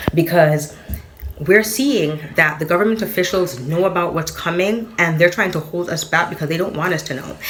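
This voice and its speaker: A woman's animated, fairly low-pitched voice amid audible room echo and noticeable background noise. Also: ordinary pitch variation. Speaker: spiritual content creator. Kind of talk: casual monologue. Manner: fast.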